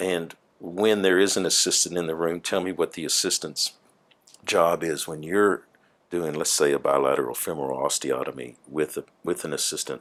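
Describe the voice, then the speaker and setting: This man has a Southern US accent and a very deep, low pitch. His voice shows vocal fry and ordinary pitch variation. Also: moderate pace. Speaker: plaintiff lawyer. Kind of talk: deposition questioning.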